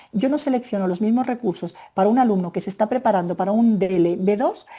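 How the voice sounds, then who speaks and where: At a very fast pace, a woman speaks in a fairly high, somewhat breathy voice with a dark, mellow tone and ordinary pitch variation. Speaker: Spanish language teacher trainer. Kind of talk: webinar presentation. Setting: online webinar. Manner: animated.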